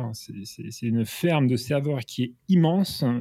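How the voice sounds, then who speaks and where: Dark and mellow in tone, a man speaks with ordinary pitch variation in a very clean recording with a silent background. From France, Normandy. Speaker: senior software engineer. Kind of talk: casual interview. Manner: halting.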